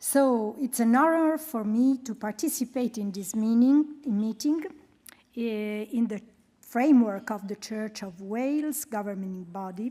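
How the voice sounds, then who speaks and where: Speaking fairly slowly and with hardly any pauses, a woman with a strong Italian accent has a fairly high voice, a dark, mellow tone, ordinary pitch variation and big swings in loudness. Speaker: humanitarian programme coordinator and researcher. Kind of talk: presentation.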